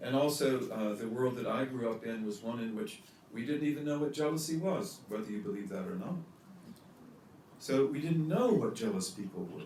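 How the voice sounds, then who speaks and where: A man with an American accent speaks in a fairly high voice. His pitch swings very widely, with noticeable background noise and audible room echo in the recording. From US Midwest. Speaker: religious teacher. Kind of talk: lecture.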